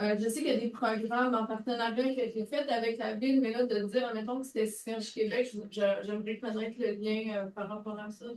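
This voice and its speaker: The delivery is fairly quick, monotone and flat in intonation, with hardly any pauses. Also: woman, fairly high pitch for a woman. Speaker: audience member, coordinator of a circular economy network. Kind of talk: conference question from audience. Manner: speaking loudly.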